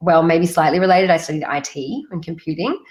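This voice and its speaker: Talking at a fairly quick pace, a woman with an Australian accent uses a fairly low pitch and fairly even intonation. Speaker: UX design consultant. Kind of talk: webinar talk. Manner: casual, many fillers.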